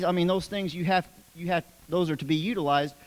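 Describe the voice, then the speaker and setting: Dry and close, the sound has no echo. A man speaks at a high pitch. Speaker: public commenter at city council meeting. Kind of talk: public comment speech with scripture. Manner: halting.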